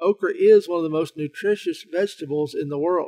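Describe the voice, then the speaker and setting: The voice carries a Southern US accent in a dry, close sound with no echo. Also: man. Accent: Southern American. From Southern United States. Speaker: health writer and researcher. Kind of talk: informational talk to camera.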